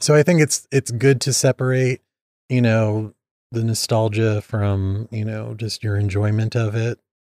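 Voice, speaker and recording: A man with a slight Midwestern accent speaks fairly slowly at a medium pitch in a dark, mellow tone with fairly even intonation, recorded dry and close with no echo on a very clean, silent background. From Indiana. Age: 30s. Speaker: podcast guest. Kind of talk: casual chat.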